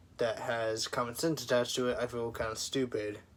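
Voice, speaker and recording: Quiet and fairly slow, a man speaks with fairly even intonation. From US military family. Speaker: vlogger. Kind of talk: personal vlog monologue. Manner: halting.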